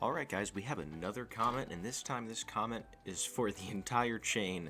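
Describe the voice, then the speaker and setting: With ordinary pitch variation and a moderate pace, a man talks while music plays behind him. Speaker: gaming youtuber. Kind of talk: casual video commentary. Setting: at home at night, keeping quiet. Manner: quiet, speaking softly at night; casual, conversational.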